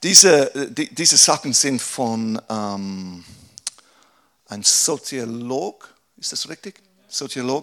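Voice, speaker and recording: At a very slow pace with long, frequent pauses, a man speaks in a medium pitch with lively intonation and big swings in loudness. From England. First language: English (speaking German). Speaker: pastor. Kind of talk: workshop talk. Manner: halting.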